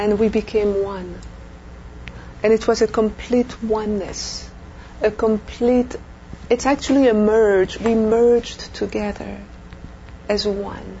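A woman with a French accent, very slow and flat in a monotone, broken by long, frequent pauses, over noticeable background noise. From Belgium. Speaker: near-death experiencer. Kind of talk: interview testimony. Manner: halting.

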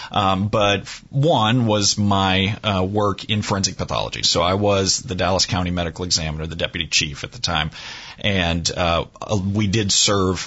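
A man speaks in a very deep, low pitch. His pitch variation is ordinary. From New Orleans, Louisiana. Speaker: forensic pathologist and magician. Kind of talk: radio interview.

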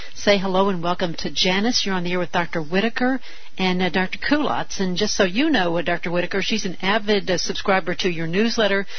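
Speaking at a fairly quick pace, a woman has a medium pitch and ordinary pitch variation. Noticeable background noise runs behind her. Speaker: radio host. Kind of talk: talk radio interview.

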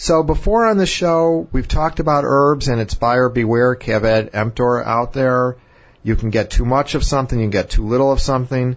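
A man with a medium pitch speaks at a moderate pace in an ordinary speaking voice, with ordinary pitch variation and very even loudness. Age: 50s. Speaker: physician radio host. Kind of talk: health talk show.

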